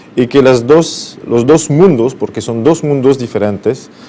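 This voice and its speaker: Noticeable background noise sits behind a man whose medium pitch shows ordinary variation. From France, Brittany. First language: French (speaking Spanish). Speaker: business consultant. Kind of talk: TV interview. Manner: halting, many fillers.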